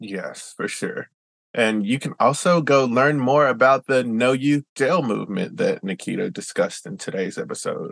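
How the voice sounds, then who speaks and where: Here a man with a Southern US accent speaks at medium pitch and a moderate pace. His pitch swings very widely, heard in a dry, close sound with no echo and a quiet background. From US South. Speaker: podcast host. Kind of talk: interview.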